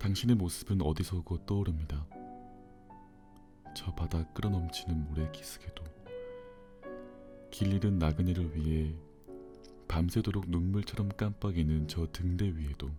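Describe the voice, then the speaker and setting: Over music in the background, a man with a very deep, low voice talks at a fairly slow pace with ordinary pitch variation and long, frequent pauses. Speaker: audiobook narrator. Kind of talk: bedtime book reading. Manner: slow, calm.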